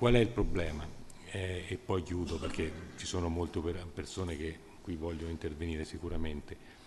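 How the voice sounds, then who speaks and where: With noticeable background noise, a man with a very deep, low pitch and a somewhat breathy voice talks at a moderate pace, with ordinary pitch variation and long, frequent pauses. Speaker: energy industry association representative. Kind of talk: panel discussion. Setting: stage with audience. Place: hall. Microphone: podium.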